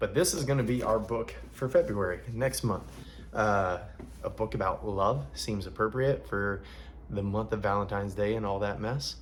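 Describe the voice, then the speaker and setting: Speaking at a moderate pace with a slight Southern US accent, a man uses lively intonation in a fairly low, somewhat breathy voice. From US South, Alabama. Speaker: book reader and online content creator.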